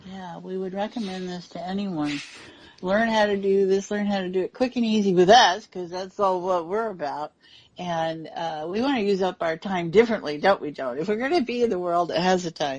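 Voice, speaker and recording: A woman in an ordinary speaking voice talks at a fairly quick pace and a medium pitch, with ordinary pitch variation and big swings in loudness. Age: 60s. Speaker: radio talk show co-host. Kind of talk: casual chat.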